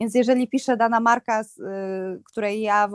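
A woman's fairly high-pitched, an ordinary speaking voice with fairly even intonation, in a dry, close sound with no echo. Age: 30s. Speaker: fashion stylist and influencer. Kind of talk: casual chat.

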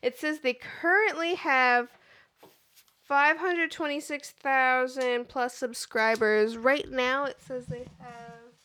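A woman's high-pitched, bright and sharp voice, raised and projected, at a very slow pace, with lively intonation and big swings in loudness. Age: 20s. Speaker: podcast co-host. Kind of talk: casual chat.

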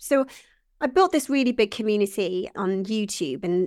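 The speaker has a Welsh accent and lively intonation. The recording is very clean, with a silent background. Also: woman. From Wales. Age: 40s. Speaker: business founder. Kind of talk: interview.

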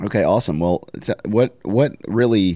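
Speaking with a Southern US accent, a man has a fairly low pitch and a dark, mellow tone. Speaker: podcast host. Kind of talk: casual interview.

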